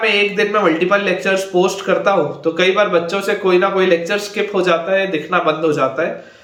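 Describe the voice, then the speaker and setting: There is noticeable background noise and audible room echo. A man talks at a moderate pace in a high pitch, with fairly even intonation. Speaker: online math teacher. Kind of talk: lecture.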